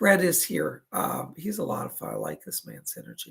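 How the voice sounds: A raspy, put-on character voice from a man at a moderate pace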